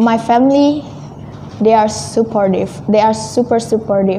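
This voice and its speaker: Clear background noise is present. The words come at a moderate speed. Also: woman. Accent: Indonesian. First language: Indonesian. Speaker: returned exchange student. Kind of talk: interview.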